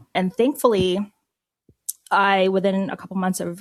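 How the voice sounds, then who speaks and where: An ordinary speaking voice with an American accent at a moderate pace. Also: woman. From Philippines, then US from age eight. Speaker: media executive. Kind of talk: interview.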